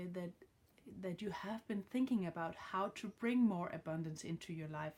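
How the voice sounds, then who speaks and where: Ordinary pitch variation marks a woman speaking with a Danish accent. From Denmark. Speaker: card reader. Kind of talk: tarot reading tutorial. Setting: home with dog. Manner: halting, many fillers. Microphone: phone near.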